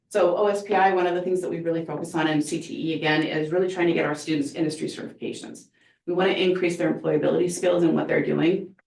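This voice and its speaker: Speaking very fast, a woman uses a fairly low pitch with vocal fry. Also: fairly even intonation. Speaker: school career and technical education administrator. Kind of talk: presentation to school board. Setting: school board meeting.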